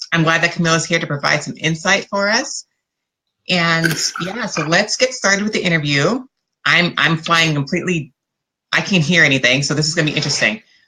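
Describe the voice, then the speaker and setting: Loud and fairly quick, a woman speaks in a bright, sharp tone. Her pitch is fairly low, with ordinary variation. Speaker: interviewer. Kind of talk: interview.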